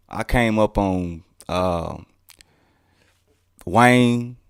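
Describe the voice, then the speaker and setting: A man's medium-pitched voice with a Mississippi accent and ordinary pitch variation, in a dry, close recording with no echo, very clean with a silent background. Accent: Southern US (Mississippi). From Mississippi, US South. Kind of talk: casual interview.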